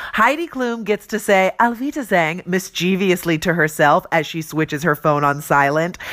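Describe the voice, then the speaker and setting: Her pitch swinging very widely, a woman speaks with an American accent. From Los Angeles, US. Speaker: entertainment news host. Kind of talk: scripted comedic news segment. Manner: animated.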